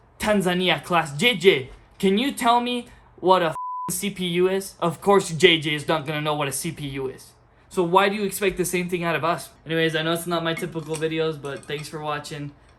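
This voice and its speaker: Angry and animated, a man talks in a high voice at a fairly quick pace. His pitch varies in an ordinary way, and background noise is noticeable. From outside the US. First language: not English. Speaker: community college student, vlogger. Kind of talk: rant vlog. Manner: animated, angry.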